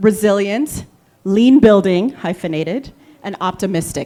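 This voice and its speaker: Very wide pitch swings mark this voice with an American accent. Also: woman. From Liberia. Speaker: panel moderator, venture philanthropy investor. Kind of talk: panel discussion moderation.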